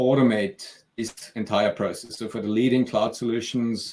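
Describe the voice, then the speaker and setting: Speaking at a moderate pace, a man with a medium pitch and a slight Austrian accent keeps a monotone, flat intonation. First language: German. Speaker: software company CEO. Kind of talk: interview and product demo.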